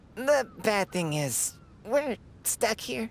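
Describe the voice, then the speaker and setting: A cartoonish character voice at a fairly high pitch plays against clear background noise. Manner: chatty, genteel.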